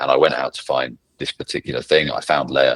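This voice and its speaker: This man talks at a fairly quick pace with a British accent. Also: dry, close sound with no echo. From England. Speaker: legal tech professional, ex-lawyer. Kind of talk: casual podcast interview.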